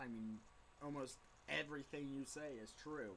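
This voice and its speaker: A man with a medium pitch and a bright, sharp tone speaks at a moderate pace with ordinary pitch variation. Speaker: intern pastor and vlogger. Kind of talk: casual video blog. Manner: slightly slurred speech; hesitant, many fillers. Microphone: poor, unedited webcam audio.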